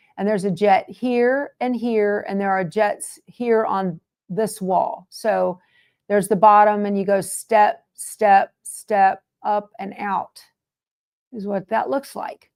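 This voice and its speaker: In a very clean recording with a silent background, a woman speaks very slowly in a Southern US accent. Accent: Southern American. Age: 60s. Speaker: quilting video host. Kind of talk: casual chat. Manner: animated.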